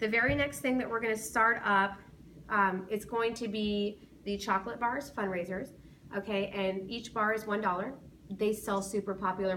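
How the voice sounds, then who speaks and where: Noticeable background noise surrounds a woman's voice. Her intonation stays fairly even. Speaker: school safety patrol sponsor teacher. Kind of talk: informational talk to parents. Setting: being recorded by students. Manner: fast.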